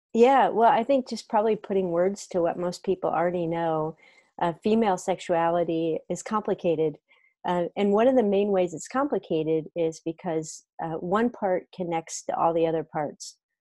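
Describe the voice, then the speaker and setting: A woman's dark, mellow voice at a moderate pace, with ordinary pitch variation, dry with no echo against a quiet background. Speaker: remote interview guest. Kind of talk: interview answer. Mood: warm, thoughtful. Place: home room. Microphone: earbuds.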